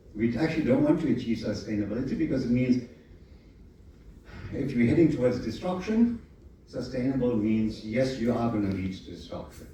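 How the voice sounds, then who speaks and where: A man speaks at a fairly quick pace and medium pitch with ordinary pitch variation and long, frequent pauses. Audible room echo and noticeable background noise are present. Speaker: conference speaker on architecture. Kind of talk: conference presentation. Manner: fast.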